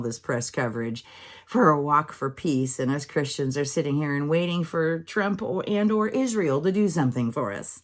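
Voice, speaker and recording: Using lively intonation, a woman speaks at a moderate pace in a very deep, low pitch. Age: 60s. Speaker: gardening channel host. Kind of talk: casual vlog chat. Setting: home office. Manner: animated.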